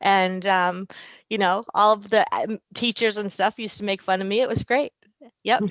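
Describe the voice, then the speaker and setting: A woman with a Boston accent speaks at a medium pitch, recorded dry and close with no echo. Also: fairly even intonation, moderate pace, quiet background. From Boston, Massachusetts. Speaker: school nurse. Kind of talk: casual chat.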